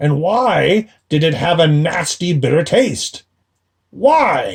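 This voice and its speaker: A man's high-pitched, put-on character voice, very slow and lively in intonation, at a very even loudness. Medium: read story. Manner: grumbling, complaining.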